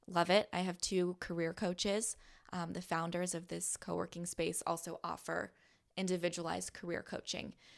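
In a very clean recording with a silent background, a woman with an American accent speaks at a moderate pace in a fairly low voice with vocal fry. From Southern California. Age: 20s. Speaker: podcast host and broadcaster. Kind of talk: interview conversation. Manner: lively.

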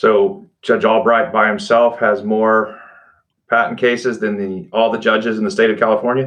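In a Texan accent, a man speaks at a medium pitch and a moderate pace with ordinary pitch variation. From Texas Panhandle. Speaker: podcast host, law center director. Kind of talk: interview.

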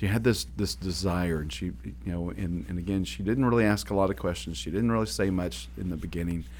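A man's very deep, low voice with vocal fry and an American accent, very wide pitch swings and hardly any pauses. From Oklahoma. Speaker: podcast host, business coach. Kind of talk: casual conversational podcast chat.

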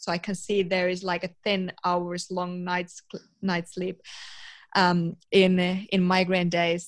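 A woman's medium-pitched voice in a Finnish accent, very slow and monotone, flat in intonation, with long, frequent pauses. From eastern Finland, rural village. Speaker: psychology student and biohacking professional. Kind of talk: interview.

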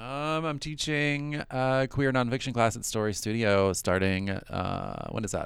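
With an American accent, a man talks in an unremarkable speaking voice at medium pitch, fairly slowly and with hardly any pauses, using ordinary pitch variation. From US South. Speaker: writer and storyteller. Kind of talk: casual chat.

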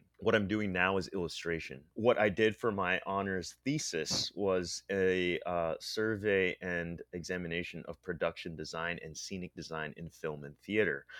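A man's very deep, low pitch in a Pennsylvania accent, moderate pace, ordinary pitch variation and hardly any pauses. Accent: American (Pennsylvania). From central Pennsylvania (State College), immigrated from the Philippines as a child. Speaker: illustrator and comic artist. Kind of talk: interview. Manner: halting, with repeated words and fillers.

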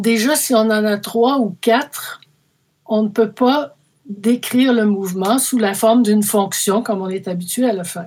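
With a Quebec accent, a woman speaks at a fairly high pitch. Her pace is fairly slow. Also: ordinary pitch variation. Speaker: mathematics professor. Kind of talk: interview. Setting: remote call.

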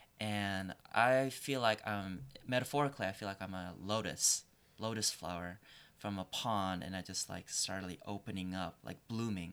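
The recording is very clean and the background is silent. At a moderate pace, a man talks with a fairly low pitch and ordinary pitch variation. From Korea, raised in Northern Virginia. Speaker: Chinese medicine student. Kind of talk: casual panel discussion. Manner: halting, with many fillers.

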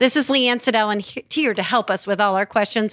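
An unremarkable speaking voice comes through a very clean recording with a silent background. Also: woman. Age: 50s. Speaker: podcast co-host. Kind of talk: casual chat; scripted narration.

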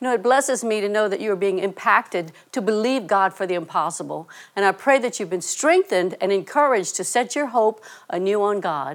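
This woman has a plain, everyday voice at a medium pitch. She moves at a fairly quick pace with ordinary pitch variation. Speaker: ministry co-leader. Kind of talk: scripted devotional segment.

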